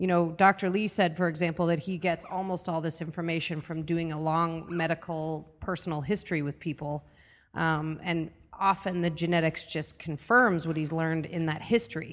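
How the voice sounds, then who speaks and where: Her voice is an unremarkable speaking voice, fairly low for a woman, moving at a moderate pace with fairly even intonation. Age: 40s. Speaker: podcast co-host and entrepreneur. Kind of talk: interview.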